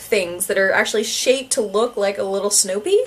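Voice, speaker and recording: Noticeable background noise sits behind a woman speaking at a moderate pace. She has a Canadian accent and her pitch swings very widely. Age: 30s. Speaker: YouTuber. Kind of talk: casual vlog talk. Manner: hesitant, many fillers.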